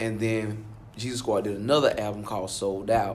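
Audible room echo surrounds a man speaking at a fairly low pitch with monotone, flat intonation. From Alabama. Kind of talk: interview.

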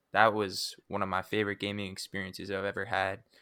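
Over a silent background in a very clean recording, a man with a fairly low pitch and a bright, sharp tone speaks in a monotone, flat intonation. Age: 20s. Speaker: gaming podcast co-host. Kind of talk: casual chat.

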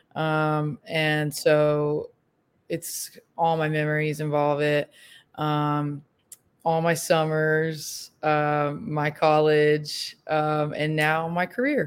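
Speaking at a very slow pace, a woman uses a very deep, low pitch with monotone, flat intonation. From Alabama. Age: 20s. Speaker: college softball coach. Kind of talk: casual interview.

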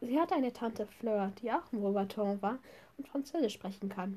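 At a moderate pace, a woman talks in a somewhat breathy voice with a dark, mellow tone and ordinary pitch variation. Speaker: podcast host. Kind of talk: reading aloud.

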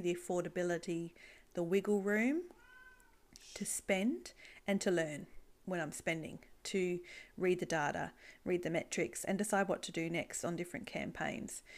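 Pausing long and often, a woman with an Australian accent uses ordinary pitch variation on a very clean recording with a silent background. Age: 40s. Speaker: podcast host, e-commerce business owner. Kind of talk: solo podcast monologue.

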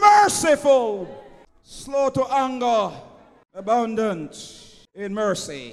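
A man is shouting. His tone is animated. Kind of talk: sermon. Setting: church with congregation. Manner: animated, call-and-response preaching, rhetorical questions to the congregation; loud, impassioned, urging the congregation to answer.

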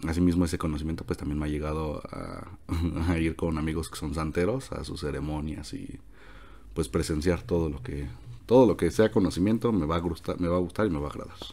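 A man with a very deep, low pitch and a dark, mellow tone talks at a fairly quick pace with lively intonation and vocal fry. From Mexico City. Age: 20s. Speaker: economics student. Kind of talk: casual interview.

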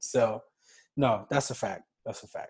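At a moderate pace, a man speaks in a somewhat breathy voice, fairly high-pitched for a man. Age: 20s. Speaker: podcast host. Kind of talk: casual chat.

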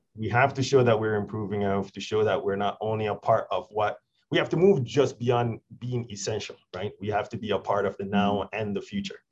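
A man speaks at a fairly quick pace with hardly any pauses and fairly even intonation. His voice is fairly low in pitch and somewhat breathy. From Jamaica. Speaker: water utility executive. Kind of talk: interview.

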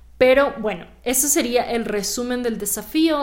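An animated tone at a fairly slow pace, with audible room echo. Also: woman. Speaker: actress and podcast host. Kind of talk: solo podcast monologue. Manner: conversational, animated.

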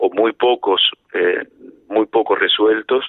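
A man with a Rioplatense accent speaks at a fairly slow pace. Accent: Argentine Rioplatense Spanish. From Argentina, Mar del Plata. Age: 50s. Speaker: lawyer and federal prosecutor. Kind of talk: radio interview. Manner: halting, with many repetitions and fillers.

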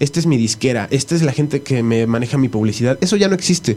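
Speaking with a Mexican accent at a very fast pace, a man uses a fairly high pitch, a dark, mellow tone, lively intonation and a somewhat breathy voice. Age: 30s. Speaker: electronic musician. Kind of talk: radio interview. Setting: radio studio.

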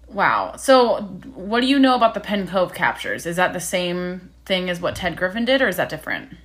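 Fairly quick speech from a woman, with noticeable background noise. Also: medium pitch for a woman, ordinary pitch variation. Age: 20s. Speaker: podcast host. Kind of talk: casual interview.

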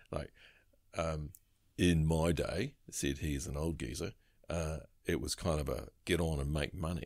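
Speaking in a New Zealand accent, a man with a very deep, low pitch and vocal fry keeps a moderate pace and ordinary pitch variation, with long, frequent pauses. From New Zealand, New Plymouth, Taranaki. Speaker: recruitment firm director. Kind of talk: casual interview.

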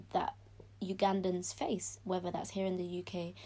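A woman with a London accent talks at a moderate pace. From South London, England. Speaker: former pageant queen, medical student. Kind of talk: podcast interview.

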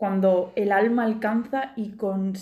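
Fairly even intonation in a somewhat breathy voice. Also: woman. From Murcia, Spain. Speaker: podcast host. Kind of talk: casual chat.

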